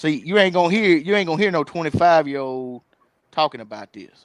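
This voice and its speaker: Against a quiet background, a man in a Southern US accent talks with ordinary pitch variation, the sound dry and close with no echo. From Mississippi. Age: 20s. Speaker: streamer. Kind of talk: casual chat.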